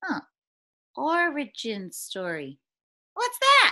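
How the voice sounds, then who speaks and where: This put-on character voice is high-pitched and moves at a very slow pace. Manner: excited, playful.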